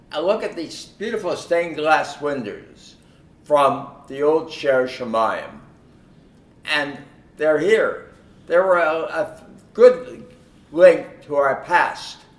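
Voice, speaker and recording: A man talks at a very slow pace with long, frequent pauses and audible room echo. His pitch is fairly high and his intonation lively. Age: 90s. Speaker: longtime supporter of the organization. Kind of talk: speech at a concert event. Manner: halting, with repetitions.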